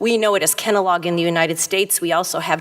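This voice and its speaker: A woman with an American accent talks at medium pitch while noticeable background noise carries on. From US Midwest, Detroit area. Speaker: retina surgeon. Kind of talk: conference talk.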